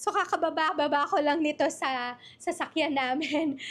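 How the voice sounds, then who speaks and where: Speaking in a Filipino accent at a fairly slow pace, a woman has a high pitch and a bright, sharp tone on a very clean recording with a silent background. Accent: Filipino (Tagalog). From Philippines, Bulacan. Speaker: online business coach. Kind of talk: live-stream workshop. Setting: livestream. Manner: casual, code-switching Tagalog-English.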